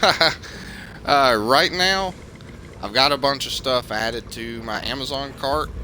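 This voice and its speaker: In a Southern US accent, a man talks at a fairly slow pace and medium pitch with ordinary pitch variation and long, frequent pauses. Background noise is noticeable. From US South. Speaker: video game streamer. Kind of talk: live gameplay commentary. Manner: hesitant, many fillers.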